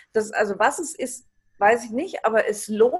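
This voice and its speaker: A woman talks at a moderate pace. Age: 60s. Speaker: retirement transition coach. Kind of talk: interview.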